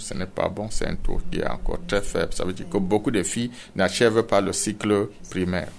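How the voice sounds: A man talks at a fairly quick pace in a low voice with vocal fry. His intonation stays fairly even.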